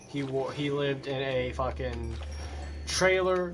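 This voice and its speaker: A man's voice with music in the background. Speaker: gaming livestreamer. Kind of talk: casual chat. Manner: stuttering; halting.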